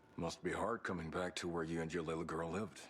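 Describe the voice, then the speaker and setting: A man growls in a put-on character voice, pitched very deep and low, at a very fast pace. Clear background noise sits behind him. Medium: video game. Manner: friendly.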